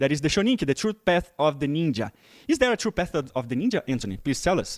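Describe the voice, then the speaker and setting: Very wide pitch swings and a very fast pace mark this voice in a Portuguese accent, captured dry and close with no echo on a very clean recording with a silent background. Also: man, fairly high pitch for a man. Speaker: interviewer. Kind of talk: interview.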